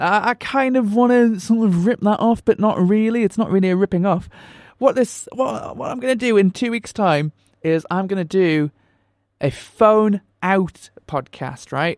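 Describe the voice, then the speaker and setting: On a very clean recording with a silent background and a dry, close sound with no echo, a man with a Northumbrian accent talks at a high pitch and a moderate pace, with ordinary pitch variation. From Northumberland, England. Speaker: podcast host. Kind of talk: casual chat. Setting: home kitchen.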